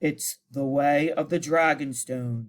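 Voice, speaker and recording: Putting on a character voice, a man talks fairly slowly at a fairly high pitch. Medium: read story.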